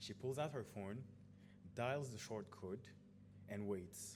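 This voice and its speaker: A man with a non-native accent speaks very slowly at a fairly low pitch, with ordinary pitch variation and audible room echo. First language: not English. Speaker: conference speaker. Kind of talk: conference talk.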